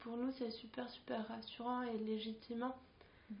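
At a fairly slow pace, a woman speaks in a fairly high voice with monotone, flat intonation. Noticeable background noise can be heard. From Chile, Santiago. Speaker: artist and educator. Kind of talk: casual interview.

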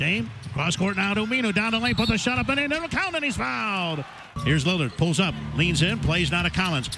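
With music in the background, a man speaks in an animated tone at a high pitch. His pitch swings very widely and his pace is fairly quick. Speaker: radio play-by-play announcer. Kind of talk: live radio play-by-play commentary. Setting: courtside at a basketball game, radio broadcast. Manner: rapid-fire, animated, rising excitement on big plays; clipped, fast, call-by-call narration.

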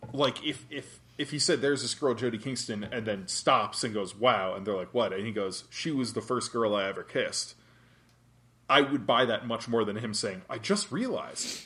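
With a plain, everyday voice, a man talks at a moderate pace and medium pitch, with ordinary pitch variation, against a quiet background. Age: 30s. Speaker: podcast co-host. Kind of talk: casual chat.

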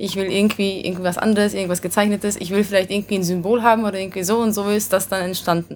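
Over background music, a woman talks at a very fast pace with hardly any pauses, her medium-pitched voice monotone and flat. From Vienna, Austria, then Hungary. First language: Hungarian (speaking German). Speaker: rock band singer. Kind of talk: interview. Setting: backstage at concert venue.

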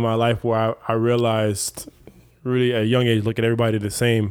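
Here a man talks in a plain, everyday voice at a medium pitch. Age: 30s. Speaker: podcast host. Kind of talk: casual interview chat. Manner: casual, profane, laid-back.

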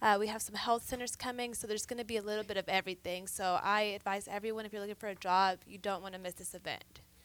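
Speaking at a very fast pace, a woman delivers her words in a monotone, flat intonation at a fairly high pitch. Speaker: event coordinator. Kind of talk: radio interview. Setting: radio studio.

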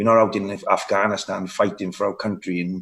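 With a strong Welsh accent, a man speaks in fairly even intonation. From Wales. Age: 30s. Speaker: bodybuilder and fitness coach. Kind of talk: casual interview. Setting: video call from Dubai.

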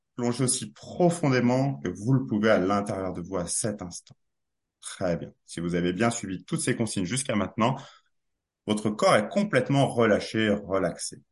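Lively intonation marks this man's fairly low-pitched voice at a moderate pace. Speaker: hypnotherapist. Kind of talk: guided hypnosis induction. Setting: video call. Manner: dynamic, directive but not authoritarian.

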